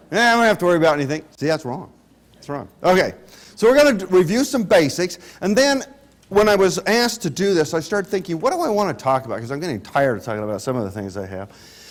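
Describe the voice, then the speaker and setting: A man talks at a very fast pace with a high pitch and very wide pitch swings. Noticeable background noise runs underneath. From Utah. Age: 60s. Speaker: clinical pharmacist and lecturer. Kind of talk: lecture. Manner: animated.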